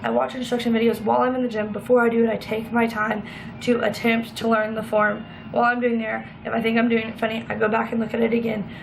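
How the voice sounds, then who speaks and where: Very fast, animated speech with audible room echo and noticeable background noise. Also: woman, fairly high pitch for a woman. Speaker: fitness vlogger. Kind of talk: casual vlog tutorial.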